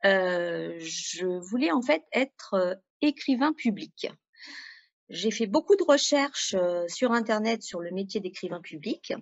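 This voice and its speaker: A woman speaks very slowly at a medium pitch, her intonation lively. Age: 40s. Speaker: freelance web writer. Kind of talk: interview testimony.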